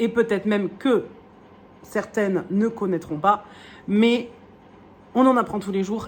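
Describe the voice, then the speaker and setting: Her intonation stays fairly level as this woman talks. She speaks at a middle pitch. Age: 30s. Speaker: wool dyer and craft vlogger. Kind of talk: casual vlog chat. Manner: hesitant, many fillers.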